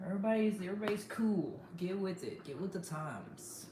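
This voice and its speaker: A woman talks at a moderate pace in an animated tone. Audible room echo and noticeable background noise surround her voice. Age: 30s. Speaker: livestreamer. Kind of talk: casual livestream chat.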